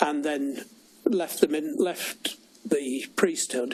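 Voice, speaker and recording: A man with a northern English accent talks at a fairly high pitch with ordinary pitch variation. There is noticeable background noise. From northern England. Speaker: church safeguarding director, former priest. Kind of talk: formal inquiry testimony.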